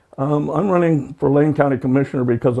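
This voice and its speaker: Here is a man with a Pacific Northwest accent. He speaks at a fairly quick pace. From Oregon, US Pacific Northwest. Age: 70s. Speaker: political candidate. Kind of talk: interview. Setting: in-person interview. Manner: halting, many fillers.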